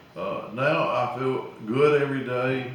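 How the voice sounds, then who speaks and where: Over noticeable background noise and audible room echo, a man with a medium-pitched voice speaks in an Alabama accent. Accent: Southern US (Alabama). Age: 70s. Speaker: small-town mayor. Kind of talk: casual interview. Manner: hesitant, many uh fillers.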